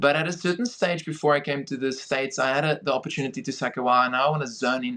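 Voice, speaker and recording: A man with a South African accent speaks very fast in a fairly high voice with a bright, sharp tone. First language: Afrikaans. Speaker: film director and producer. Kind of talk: podcast interview.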